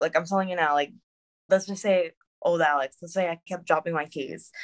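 A woman with a normal speaking voice talks at a fairly low pitch with fairly even intonation. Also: dry, close sound with no echo. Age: 20s. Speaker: former dancer and teacher living with MS. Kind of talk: casual interview.

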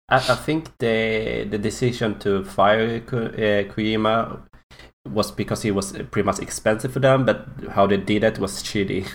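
With vocal fry and a fairly low pitch, a man talks at a fairly slow pace with hardly any pauses. His pitch variation is ordinary. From Sweden. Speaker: gaming podcast host. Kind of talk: casual chat.

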